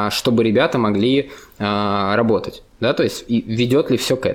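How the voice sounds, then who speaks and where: This man has an ordinary speaking voice, pitched in the medium range with ordinary variation. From Russia, St. Petersburg. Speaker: company CEO, frontend developer and conference organizer. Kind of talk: casual interview.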